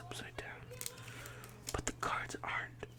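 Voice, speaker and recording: A whisper is heard against noticeable background noise. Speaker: ASMR creator. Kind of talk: ASMR card unboxing. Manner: whispering.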